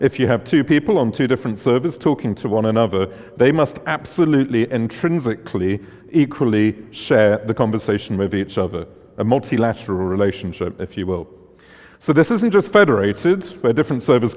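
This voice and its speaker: Against a quiet background, a man with a strong British accent talks at a very fast pace in a medium pitch with lively intonation. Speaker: conference speaker, tech founder. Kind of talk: conference talk.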